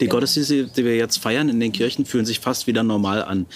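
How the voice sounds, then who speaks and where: Using an ordinary speaking voice, a man talks at a fairly quick pace with a medium pitch and ordinary pitch variation. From Brandenburg, Germany. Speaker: pastor. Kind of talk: interview.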